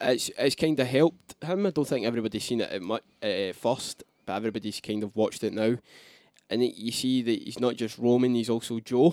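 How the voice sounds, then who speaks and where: A plain, everyday voice at a fairly quick pace, ordinary pitch variation, and a dry, close sound with no echo. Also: man, medium pitch for a man. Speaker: wrestling podcast co-host. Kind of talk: casual chat.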